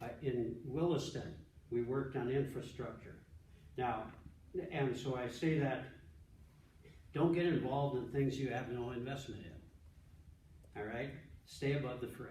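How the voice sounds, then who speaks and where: In a room with audible echo, a man of medium pitch talks at a fairly slow pace with ordinary pitch variation and long, frequent pauses. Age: 70s. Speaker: pastor and ministry director. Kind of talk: conference talk. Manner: halting, many repeated words and false starts.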